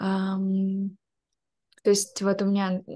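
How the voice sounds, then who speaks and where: A woman speaks against a quiet background. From Ukraine. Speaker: product designer. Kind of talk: interview answer. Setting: video call. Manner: anxious, hesitant. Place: home room. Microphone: video call.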